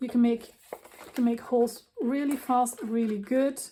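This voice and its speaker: A woman with a non-native accent. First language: not English. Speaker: craft designer. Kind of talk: tutorial. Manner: casual.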